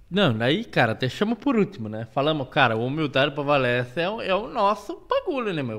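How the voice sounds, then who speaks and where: Over noticeable background noise, a man speaks at a fairly high pitch. His voice moves in very wide pitch swings. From Curitiba, Brazil. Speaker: podcast host. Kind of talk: casual chat. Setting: studio.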